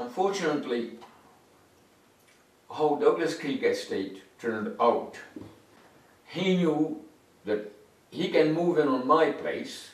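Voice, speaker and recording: A man at a very slow pace, with very wide pitch swings and long, frequent pauses, over noticeable background noise. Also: fairly high pitch for a man. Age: 70s. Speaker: retiree. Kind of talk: interview answer.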